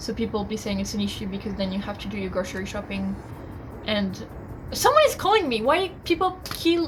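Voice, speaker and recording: A woman is recorded in a space with audible room echo. Noticeable background noise runs underneath. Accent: French. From France. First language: French. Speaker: university student vlogger. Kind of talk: casual vlog review. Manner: chatty, informal.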